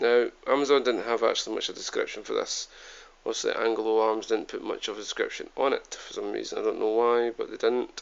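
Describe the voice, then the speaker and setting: Delivered at a very fast pace, a man's speech comes in a Scottish accent. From Scotland. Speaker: YouTube product reviewer. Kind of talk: product review. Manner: hesitant, many fillers. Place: home room. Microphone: phone near.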